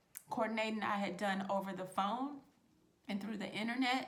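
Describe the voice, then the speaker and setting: A woman speaks in an animated tone at a medium pitch, with audible room echo. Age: 20s. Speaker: vlogger. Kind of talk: story time with tips.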